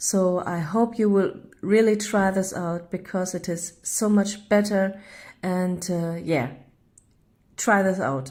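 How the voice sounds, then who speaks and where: A woman speaks with a German accent. Her pace is very slow and her pitch varies an ordinary amount. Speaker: home baker vlogger. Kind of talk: cooking tutorial. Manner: halting.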